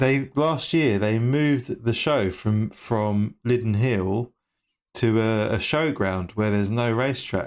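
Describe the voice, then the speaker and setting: A man speaks very slowly with a London accent, his pitch medium and its variation ordinary. His loudness stays very even on a very clean recording with a silent background. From England, East London. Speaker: sim racing streamer. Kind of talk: casual chat. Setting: live stream.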